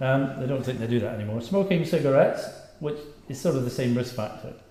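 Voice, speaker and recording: A man with a Scottish accent talks at a fairly quick pace. Room echo is audible. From Scotland. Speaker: doctor. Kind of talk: lecture.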